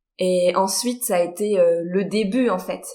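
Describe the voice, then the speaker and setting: A woman at a medium pitch with fairly even intonation, an ordinary speaking voice. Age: 30s. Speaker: horse trainer. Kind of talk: podcast interview.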